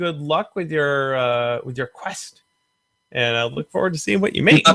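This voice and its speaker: At a moderate pace, a man speaks in a normal speaking voice with a fairly high pitch and ordinary pitch variation. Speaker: prop maker. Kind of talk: live-stream Q&A host.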